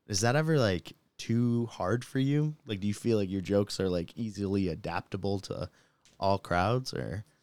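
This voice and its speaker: With lively intonation and a plain, everyday voice, a man speaks at a fairly low pitch and a moderate pace in a dry, close sound with no echo. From Michigan, US. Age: 20s. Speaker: podcast host. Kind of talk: casual chat. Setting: home studio in a basement.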